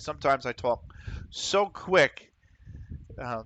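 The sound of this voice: A man with a Pennsylvania accent speaks slowly at a medium pitch with lively intonation. His tone is fairly bright, and the sound is dry and close with no echo. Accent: Pennsylvania American.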